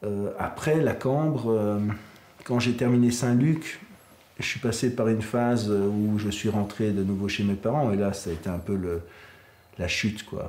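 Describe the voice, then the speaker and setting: A man at a fairly low pitch and fairly slow pace, with ordinary pitch variation, long, frequent pauses and audible room echo. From southern Belgium (Gaume). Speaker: graphic designer and artist. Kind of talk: interview. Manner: hesitant, many fillers.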